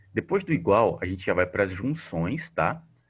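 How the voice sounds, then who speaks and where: A man speaks fairly quickly, his pitch swinging very widely. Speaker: teacher. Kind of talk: online class tutorial on spreadsheets. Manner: casual, conversational.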